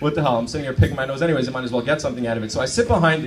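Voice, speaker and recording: With an American accent, a man talks in an animated tone, with audible room echo and noticeable background noise. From New York. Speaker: stand-up comedian. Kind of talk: stand-up. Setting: stage with audience.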